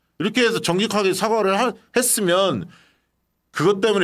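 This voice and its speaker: A man is speaking. The background is quiet. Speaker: political YouTube host. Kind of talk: political talk show. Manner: animated. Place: studio. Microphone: studio mic.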